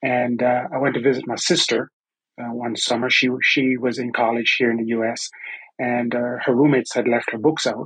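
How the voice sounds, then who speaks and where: Speaking fairly quickly in a Caribbean accent, a man holds a medium pitch with flat, monotone intonation. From Antigua and Barbuda. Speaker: construction training director. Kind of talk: podcast interview.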